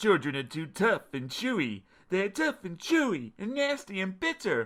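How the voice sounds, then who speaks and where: A man's put-on character voice, high-pitched with very wide pitch swings, on a very clean recording with a silent background. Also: moderate pace. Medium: read story.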